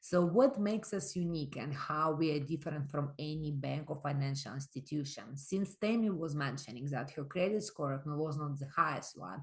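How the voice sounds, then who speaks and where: Somewhat breathy and very deep, a woman's low voice runs at a moderate pace with ordinary pitch variation and hardly any pauses. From immigrant to Canada. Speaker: microlending organization representative. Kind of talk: webinar presentation.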